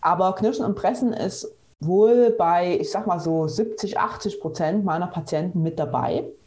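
A dark, mellow, somewhat breathy voice at a fairly slow pace, with ordinary pitch variation. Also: woman, medium pitch for a woman. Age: 30s. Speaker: physiotherapist. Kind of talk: interview.

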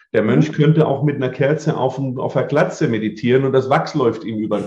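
Somewhat breathy and at a medium pitch, a man talks at a fairly quick pace with ordinary pitch variation. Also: hardly any pauses. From southern Germany, Lake Constance area. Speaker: memory and mental coach, speaker. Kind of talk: interview. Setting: video podcast.

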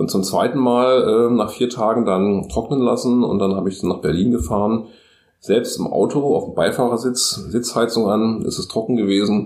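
A man with a plain, everyday voice speaks at a moderate pace in a medium pitch, his intonation fairly even. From Magdeburg, eastern Germany. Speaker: design professor and freelance illustrator. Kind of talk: casual interview.

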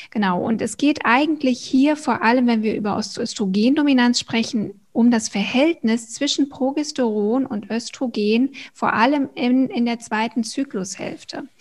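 Her high-pitched voice moves at a fairly slow pace with ordinary pitch variation and hardly any pauses. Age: 40s. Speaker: hormone coach and personal trainer. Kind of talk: interview.

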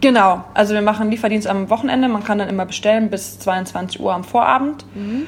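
Somewhat breathy, a woman at medium pitch talks at a very fast pace. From Rhineland, Oberbergischer Kreis (Wipperfürth). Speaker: café owner. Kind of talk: casual interview.

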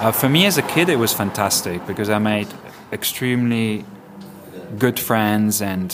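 Fairly low-pitched male speech at a moderate pace with ordinary pitch variation and noticeable background noise. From Ibiza, Spain. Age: 40s. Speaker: DJ and music curator. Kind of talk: interview. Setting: cafe.

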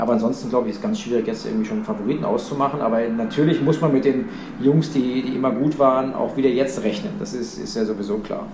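A man of medium pitch talks at a very fast pace with very wide pitch swings, amid noticeable background noise and audible room echo. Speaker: racing driver and motorsport expert. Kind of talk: casual chat. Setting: remote call from warm holiday abroad.

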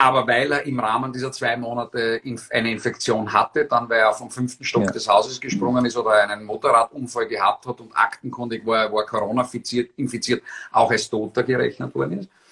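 Monotone, flat intonation in a bright, sharp tone at a fairly quick pace. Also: man, medium pitch for a man. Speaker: former politician, political blogger and rhetoric trainer. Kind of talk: interview. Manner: articulate.

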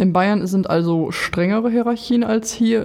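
A woman's voice, fairly even in intonation and moderate in pace, comes through noticeable background noise. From Lower Saxony. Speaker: podcast host and nurse. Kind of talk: casual interview. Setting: studio.

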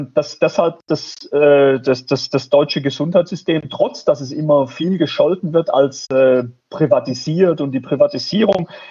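A man speaks at a fairly slow pace. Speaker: professor of health economics. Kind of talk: interview. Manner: halting, many repetitions and fillers.

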